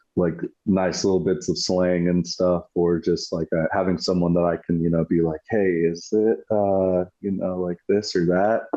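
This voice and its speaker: A man speaks with a West Coast accent in a very deep, low voice. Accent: American West Coast. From US West Coast, British-born. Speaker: war veteran. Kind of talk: interview. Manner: casual, many fillers.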